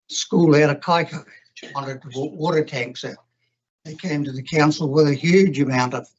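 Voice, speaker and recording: A man with a New Zealand accent talks at a moderate pace, his voice somewhat breathy and his intonation fairly even. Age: 80s+. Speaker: former councillor, submitter at hearing. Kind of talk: public hearing submission.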